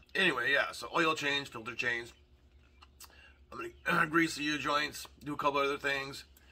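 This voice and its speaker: Noticeable background noise sits under speech that stops often for long pauses. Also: man. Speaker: car enthusiast vlogger. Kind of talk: casual vlog talk. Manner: fast; rambling, hesitant with fillers.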